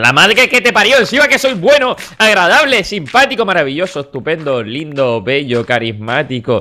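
An animated, bright and sharp tone with lively intonation at a moderate pace. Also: man. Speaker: gaming YouTuber. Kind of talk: casual gaming commentary.

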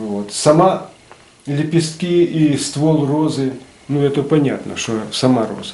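A man talks at a very slow pace in a Ukrainian accent. His pitch is fairly high, and the room echo is audible. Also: ordinary pitch variation. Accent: Ukrainian-accented Russian with surzhyk. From Ukraine, Nikopol; Ukraine. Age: 60s. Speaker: retired metalworker and craftsman. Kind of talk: casual explanation of his artwork. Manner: halting, many fillers. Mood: calm, modest. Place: hall. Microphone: camera far.

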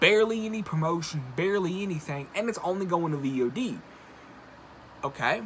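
Long, frequent pauses break up this man's speech, which has lively intonation and a high pitch over light background noise. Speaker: video blogger and horror movie commentator. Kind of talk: angry rant about a film studio, YouTube commentary. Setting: solo video, recorded for a channel. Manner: indignant and exasperated, riled up, pointed criticism; conversational, addresses viewers directly. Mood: annoyed, ranting. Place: home room. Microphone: phone near.

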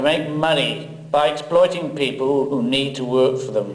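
A fairly high-pitched man at a fairly slow pace, ordinary pitch variation, and noticeable background noise. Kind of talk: poem performed.

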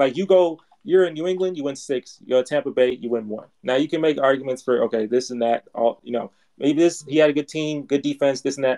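Dark and mellow in tone, a man talks at a fairly quick pace with a fairly high pitch. His pitch variation is ordinary, and the sound is dry and close with no echo. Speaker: YouTube channel host. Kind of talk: heated debate. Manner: insistent, repetitive, emphatic.

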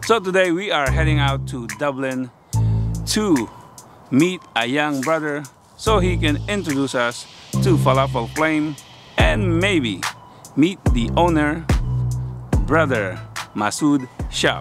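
Clear music plays in the background as a man talks at a very slow pace, with long, frequent pauses and a dry sound with no echo. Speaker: food vlogger. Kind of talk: casual vlog chat.

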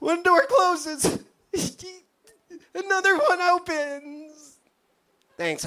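An extremely high-pitched, strained, put-on character voice, cheerful in tone, at a very slow pace with long, frequent pauses. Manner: forced cheerful, strained.

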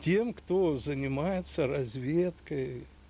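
A man's very slow speech with lively intonation. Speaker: retired oil geologist. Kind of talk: interview. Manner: halting. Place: garden.

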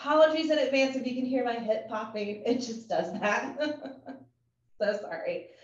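The speech moves at a moderate pace, and room echo can be heard. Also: woman. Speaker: fitness instructor. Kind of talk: workout class instruction. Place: home room.

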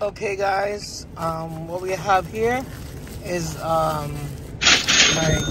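The recording has loud background noise and a dry sound with no echo. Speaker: food vlogger. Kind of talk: casual vlog chat. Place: car. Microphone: phone near.

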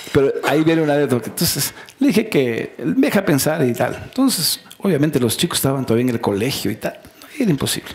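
Over light background noise, a man speaks at a very fast pace with lively intonation. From Ecuador, Loja province (Celica); Ecuador. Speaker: politician and economist; politician. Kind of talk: casual interview. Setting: studio talk show. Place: stage. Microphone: headset.

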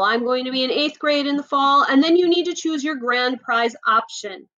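A woman with a high pitch and a bright, sharp tone uses a raised, projected voice, speaking at a moderate pace with lively intonation. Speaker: school librarian. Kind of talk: tutorial. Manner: animated.

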